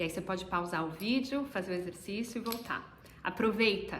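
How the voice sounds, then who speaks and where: At a fairly quick pace, a woman talks with a medium pitch. Noticeable background noise and audible room echo surround her. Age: 30s. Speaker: business mentor, course co-host. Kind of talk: online masterclass presentation.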